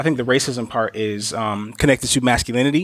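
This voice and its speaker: A man with a plain, everyday voice speaks at medium pitch and a fairly quick pace in a very clean recording with a silent background. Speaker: podcast co-host. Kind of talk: casual chat.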